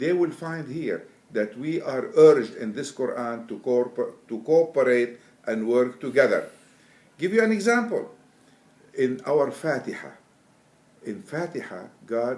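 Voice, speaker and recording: A man talks with long, frequent pauses and big swings in loudness. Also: fairly high pitch for a man, lively intonation, fairly slow pace. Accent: Arabic. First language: Arabic. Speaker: Quran translator. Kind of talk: interview. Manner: halting.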